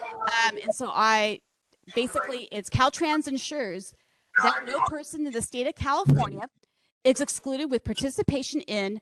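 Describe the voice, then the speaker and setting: A woman speaks loudly and high at a moderate pace, with lively intonation. Her sound is dry and close, without echo. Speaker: project manager at a public meeting. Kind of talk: public meeting presentation. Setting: public meeting hall with microphone, also streamed online. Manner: loud, projecting.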